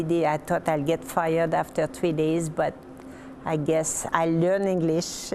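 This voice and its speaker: With a French Canadian accent, a woman speaks at a fairly low pitch over noticeable background noise. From Quebec, Lower Saint Lawrence. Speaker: retired hospital administrator. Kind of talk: interview.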